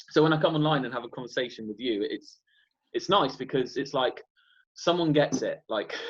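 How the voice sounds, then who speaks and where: A man with a British accent talks at a fairly quick pace with a fairly high pitch. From UK. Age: 20s. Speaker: spiritual YouTuber. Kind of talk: casual conversation.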